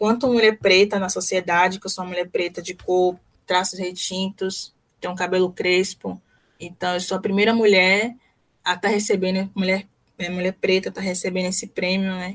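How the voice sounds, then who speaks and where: A woman talks at a moderate pace and medium pitch in a monotone, flat intonation. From Brazil, Salvador (Bahia). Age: 20s. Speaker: medical physicist, master's student. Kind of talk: radio interview. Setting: radio interview.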